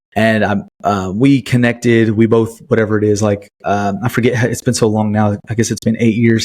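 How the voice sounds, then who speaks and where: A man with a Southern US accent talks at a fairly quick pace with hardly any pauses. His intonation stays monotone and flat. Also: medium pitch for a man, very even loudness. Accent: Southern US, fairly country. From US South, Chattanooga area, Tennessee. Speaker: podcast host. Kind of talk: casual personal storytelling. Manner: halting, many fillers.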